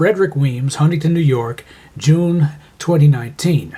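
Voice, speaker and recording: An unremarkable speaking voice, this man's is fairly high in pitch, with ordinary pitch variation at a moderate pace. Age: 60s. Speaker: amateur writer. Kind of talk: reading aloud.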